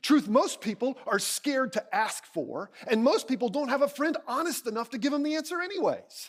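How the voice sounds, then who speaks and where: A man speaks loudly. His tone is animated. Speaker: keynote speaker and communications coach. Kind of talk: keynote speech.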